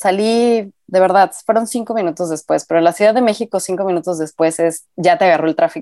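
Heard on a very clean recording with a silent background and a dry, close sound with no echo, a woman has an unremarkable speaking voice, fairly low pitch and ordinary pitch variation. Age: 30s. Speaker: graphic designer and mother. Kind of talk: casual chat.

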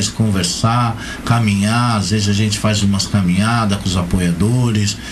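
There is audible room echo and noticeable background noise. A man speaks at a moderate pace with a fairly low pitch. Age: 50s. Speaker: amputee football player and organizer. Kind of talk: radio interview.

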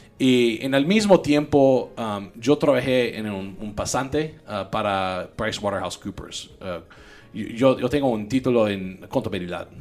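A man with a medium pitch and ordinary pitch variation talks at a fairly slow pace, with big swings in loudness. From US South, Louisiana (Baton Rouge). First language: English (speaking Spanish). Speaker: tech entrepreneur and podcast host. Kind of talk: casual interview chat. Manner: halting, many repetitions and code-switching.

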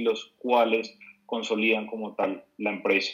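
His intonation is monotone and flat. The man's voice sits at a medium pitch. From Bogotá, Colombia. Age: 20s. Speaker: entrepreneur. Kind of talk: interview.

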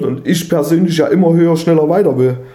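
With audible room echo around him, a man speaks fairly quickly in a dark, mellow tone at a fairly high pitch. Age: 30s. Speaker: podcast co-host. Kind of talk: casual chat.

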